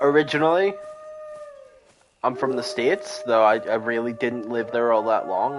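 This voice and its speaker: A man's animated, medium-pitched voice at a fairly quick pace, with very wide pitch swings and noticeable background noise. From Northern Ireland. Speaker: game streamer. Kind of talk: live gameplay stream chat. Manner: casual, animated.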